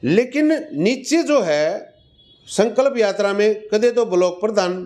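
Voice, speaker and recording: Speaking with ordinary pitch variation, a man has a high pitch. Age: 60s. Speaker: retired police inspector. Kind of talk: interview.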